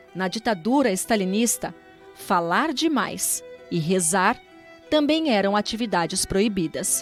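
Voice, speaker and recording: Music plays behind a woman speaking at a fairly slow pace in a medium pitch. Her pitch swings very widely while her loudness stays very even. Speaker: documentary narrator. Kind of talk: documentary narration.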